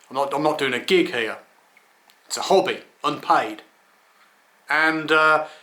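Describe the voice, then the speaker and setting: Speaking with an English accent, a man uses a fairly high voice with a bright, sharp tone. He leaves long, frequent pauses. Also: ordinary pitch variation, fairly slow pace. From England. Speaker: skeptic commentator vlogger. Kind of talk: casual rant monologue. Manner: stammering, repeats words.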